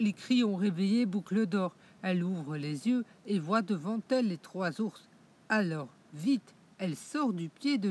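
The speaker reads in a natural reading voice.

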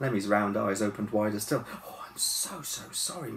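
Written words are being read out. The delivery sounds natural.

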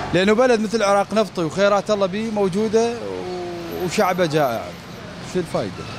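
A man with a Baghdadi accent speaks at a moderate pace in a high pitch, with ordinary pitch variation, a dry sound with no echo, and noticeable background noise. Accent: Iraqi Arabic (Baghdadi). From Iraq, Baghdad. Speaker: TV street-program presenter. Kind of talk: on-location field reporting and street chat. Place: market. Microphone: handheld.

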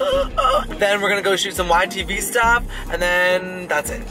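A man's raised, projected voice over clear background music. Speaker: vlogger. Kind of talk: casual vlog chat. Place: car.

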